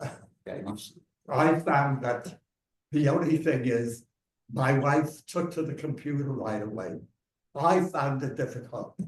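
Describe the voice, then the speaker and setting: Somewhat breathy and very slow, a man with an American accent talks at a fairly high pitch with ordinary pitch variation. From New York City, Lower East Side. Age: 80s+. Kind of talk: interview answer. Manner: energetic, enthusiastic.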